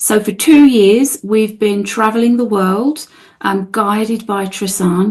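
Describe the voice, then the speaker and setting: Speaking with a South London accent, a woman talks at a fairly slow pace with ordinary pitch variation. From England, outside London. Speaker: spiritual guide. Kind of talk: interview.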